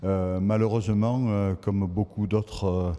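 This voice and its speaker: On a very clean recording with a silent background, a man talks at a fairly slow pace, his fairly low voice dark and mellow with fairly even intonation. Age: 60s. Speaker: local association member. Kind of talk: interview, guided site tour. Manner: halting, many hesitations and repetitions.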